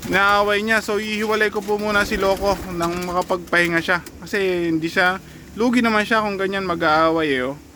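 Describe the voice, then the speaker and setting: A man speaks at a high pitch in a raised, projected voice. His pace is fairly quick. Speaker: pigeon racing vlogger. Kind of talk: casual vlog narration. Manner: excited, halting.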